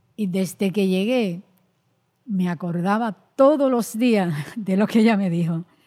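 A woman with a medium-pitched, dark, mellow voice talks at a fairly slow pace, leaving long, frequent pauses. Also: ordinary pitch variation. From Dominican Republic, rural La Vega. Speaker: women's rights activist, nonprofit director. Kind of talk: interview. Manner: halting, repeats words.

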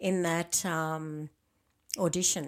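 A woman speaks with an Australian accent. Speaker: podcast host. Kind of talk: interview.

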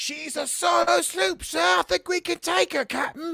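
A put-on character voice with a fairly high pitch and very wide pitch swings moves at a moderate pace. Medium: actual play. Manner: shouting, eager.

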